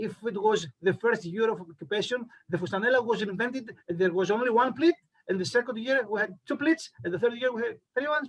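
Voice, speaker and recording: A man with a Greek accent speaks fairly quickly in a high pitch with ordinary pitch variation. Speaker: costume researcher, presenter. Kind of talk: presentation and Q&A. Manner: halting, many fillers.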